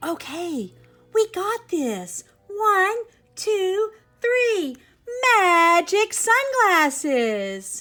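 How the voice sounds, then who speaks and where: A woman's squeaky put-on character voice, extremely high in pitch, at a very slow pace with long, frequent pauses and music in the background. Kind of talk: bedtime story. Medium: read story.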